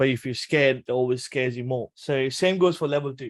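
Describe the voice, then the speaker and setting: A man's medium-pitched voice with a Punjabi accent, at a very fast pace. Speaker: trading educator. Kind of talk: tutorial. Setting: webinar. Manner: casual.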